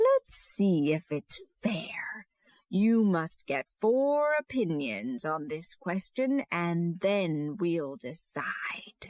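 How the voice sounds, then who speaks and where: Putting on a character voice, a woman speaks at a very slow pace with a fairly low pitch that swings very widely. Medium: read story.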